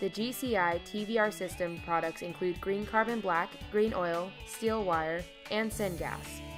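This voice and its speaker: Music plays behind a woman speaking at a fairly slow pace. Her pitch is medium, with ordinary variation. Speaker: voice-over talent. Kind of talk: corporate narration.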